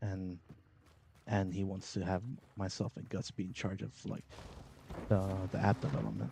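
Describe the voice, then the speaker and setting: A dark, mellow tone at a moderate pace, with ordinary pitch variation and long, frequent pauses. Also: man, very deep, low pitch for a man. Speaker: gaming streamer. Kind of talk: casual chat. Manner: loud.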